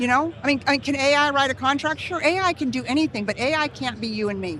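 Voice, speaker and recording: A woman speaks very fast in a high voice with ordinary pitch variation. Her tone is animated. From California. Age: 60s. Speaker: real estate leader. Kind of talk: interview.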